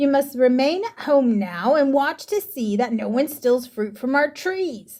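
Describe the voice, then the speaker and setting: Putting on a character voice, a woman speaks at a high pitch with very wide pitch swings, a moderate pace, and hardly any pauses. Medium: read story. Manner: bossy, cold.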